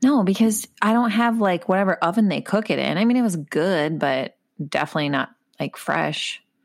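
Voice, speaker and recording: Speaking at a moderate pace in a medium pitch, a woman's voice shows vocal fry on a very clean recording with a silent background. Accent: Minnesotan. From Minnesota, US Midwest. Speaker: podcast co-host. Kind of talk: casual chat.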